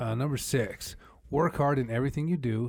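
In an American accent, a man at medium pitch sounds somewhat breathy, with lively intonation on a very clean recording with a silent background. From US Northwest (Idaho, Montana). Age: 30s. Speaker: podcast co-host. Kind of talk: casual chat.

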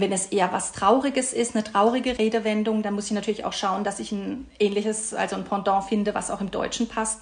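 Amid noticeable background noise, a woman with a fairly high pitch talks at a fairly quick pace in a monotone, flat intonation with hardly any pauses. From Karlsruhe, Baden, southwestern Germany. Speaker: translator. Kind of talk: podcast interview.

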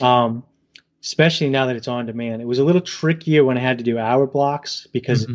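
Very fast and with fairly even intonation, a man talks at a medium pitch in a New England accent. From New England, southern Massachusetts / Rhode Island. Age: 40s. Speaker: gig worker and YouTuber. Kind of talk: casual interview.

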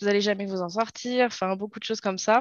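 A woman speaks at a medium pitch in a monotone, flat intonation. The sound is dry and close with no echo, over a quiet background. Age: 20s. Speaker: young mother. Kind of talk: interview testimony. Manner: hesitant, many fillers.

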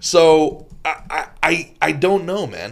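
Here a man is speaking. He has an American accent. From New Jersey, US. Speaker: comedian. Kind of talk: casual chat.

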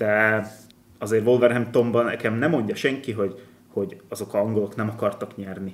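In an ordinary speaking voice, a man talks at a fairly quick pace, fairly low in pitch with fairly even intonation. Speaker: football podcast host. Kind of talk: casual chat.

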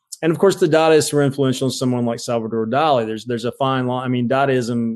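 Over a quiet background, a man of medium pitch speaks with ordinary pitch variation. He has an ordinary speaking voice. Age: 50s. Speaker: professor and author. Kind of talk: interview conversation.

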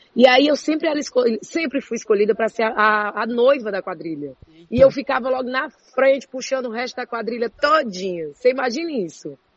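The delivery is animated and fairly quick, with lively intonation, big swings in loudness and hardly any pauses. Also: woman, high pitch for a woman. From Ceará interior, Brazil (Juazeiro do Norte). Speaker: TV presenter. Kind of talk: casual interview. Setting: studio.

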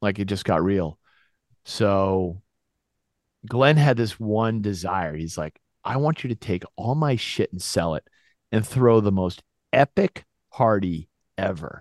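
A fairly low-pitched man with an American accent, lively intonation and long, frequent pauses, in a dry, close sound with no echo and a quiet background. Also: fairly slow pace. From Massachusetts, Gloucester. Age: 50s. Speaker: former pro snowboarder, entrepreneur. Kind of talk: casual interview.

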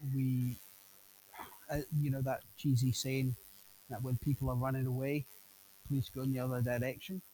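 This man talks with a Scottish accent in a medium pitch, his intonation monotone and flat. The sound is dry and close with no echo, and his pauses are long and frequent. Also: moderate pace. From Scotland. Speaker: police officer. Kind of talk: casual interview.

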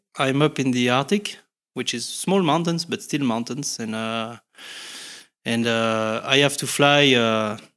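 In a French accent, a man speaks at a moderate pace and medium pitch with ordinary pitch variation, on a very clean recording with a silent background. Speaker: helicopter pilot and ski guide. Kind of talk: casual interview. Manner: hesitant, many fillers and repetitions.

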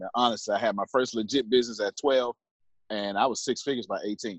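The speaker talks at a very fast pace. The voice has an American accent. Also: man. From US inner city. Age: 30s. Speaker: entrepreneur. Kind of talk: podcast interview. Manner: animated.

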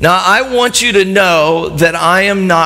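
A man speaks with ordinary pitch variation over noticeable background noise, with audible room echo. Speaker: pastor. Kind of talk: sermon. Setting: church with live audience. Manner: animated.

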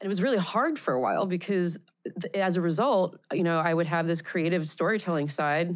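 A woman with an American accent and an ordinary speaking voice, fairly low in pitch, fairly quick, with ordinary pitch variation, in a very clean recording with a silent background. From Pennsylvania, US. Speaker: VR director and researcher. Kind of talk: interview conversation.

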